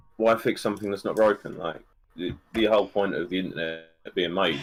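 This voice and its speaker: Music plays in the background as a man with a British accent talks at a very fast pace. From United Kingdom. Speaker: podcast guest. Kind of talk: casual chat. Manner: monotone.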